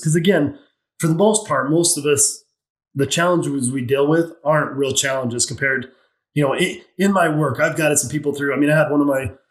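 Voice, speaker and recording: A man with an American accent uses an ordinary speaking voice at a fairly high pitch, talking at a fairly quick pace with ordinary pitch variation. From Utah, US. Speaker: mindset coach and financial planner. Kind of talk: podcast interview.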